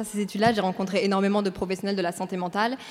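Here a woman speaks at a medium pitch. Her intonation is monotone and flat. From Brussels, Belgium. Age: 20s. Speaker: content creator and podcaster. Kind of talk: interview on stage. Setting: stage with audience.

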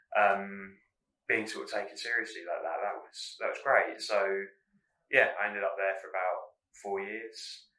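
Through audible room echo, a man speaks at a moderate pace with big swings in loudness and long, frequent pauses. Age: 30s. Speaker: comedy producer. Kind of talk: casual interview. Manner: quiet; calm.

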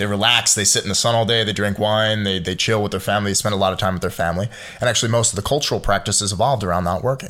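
A man with a Philadelphia accent, fairly low pitch, fairly even intonation and a very fast pace, over noticeable background noise. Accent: American, Philadelphia. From Philadelphia, US. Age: 20s. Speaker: entrepreneur. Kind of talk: casual chat.

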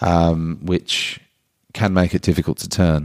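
A man with an Australian accent at a moderate pace, in a very clean recording with a silent background and a dry, close sound with no echo. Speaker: surfboard shaper. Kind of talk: casual consultation chat.

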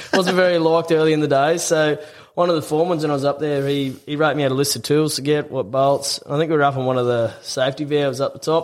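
The speaker has an Australian accent and talks at a very fast pace. The intonation stays fairly even. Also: man, fairly high pitch for a man. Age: 20s. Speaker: tradesman and former rugby league player. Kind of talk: telling a joke; casual chat.

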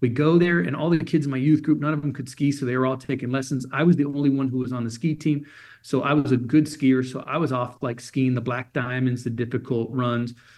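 A man with a General American accent speaks at a fairly quick pace. His is a plain, everyday voice, medium in pitch, with fairly even intonation. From Germany. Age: 50s. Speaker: motivational speaker. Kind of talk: interview. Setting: phone call.

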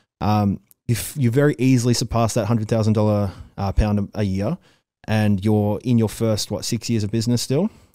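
With an Australian accent, a man talks at a fairly quick pace in a dark, mellow tone and fairly even intonation. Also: fairly low pitch for a man. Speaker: interviewer. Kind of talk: casual interview. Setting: video call.

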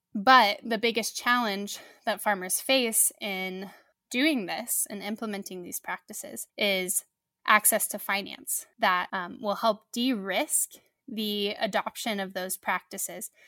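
Over a very clean recording with a silent background, a woman of medium pitch with an American accent speaks at a fairly slow pace in a bright, sharp tone, with ordinary pitch variation and a dry, close sound with no echo. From US Midwest, southern Missouri Ozarks. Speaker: agtech startup co-founder. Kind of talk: interview.

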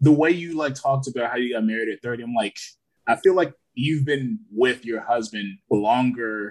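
This man has an unremarkable speaking voice with medium pitch. His pitch varies in an ordinary way, and his pace is moderate. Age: 30s. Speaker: therapist podcast co-host. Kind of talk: casual chat.

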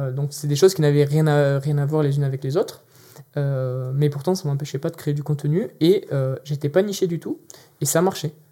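A man speaks at a moderate pace in a dark, mellow tone. His voice is somewhat breathy, with fairly even intonation. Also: fairly high pitch for a man. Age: 20s. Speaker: LinkedIn content project manager. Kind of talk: interview. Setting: video studio.

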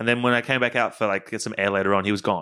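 Fairly low in pitch, a man's voice carries a bright, sharp tone at a very fast pace. The recording is very clean, with a silent background. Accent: Australian. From Queensland, Australia. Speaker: game producer. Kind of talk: casual chat.

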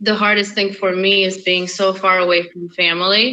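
A woman with a non-native accent speaks fairly slowly in a bright, sharp tone, her intonation flat and monotone. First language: not English. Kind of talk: interview.

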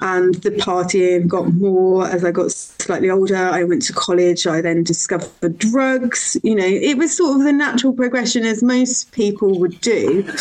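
A woman speaks at medium pitch with lively intonation and very even loudness, keeping a moderate pace with hardly any pauses. There is noticeable background noise. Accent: Birmingham. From Birmingham, England. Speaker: podcast guest sharing recovery story. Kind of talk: personal testimony in interview.

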